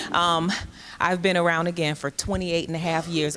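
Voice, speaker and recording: Very deep, low pitch from a woman, with fairly even intonation. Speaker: jail commander, sheriff's major. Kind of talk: panel talk at public forum. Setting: stage with audience, microphone. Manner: loud.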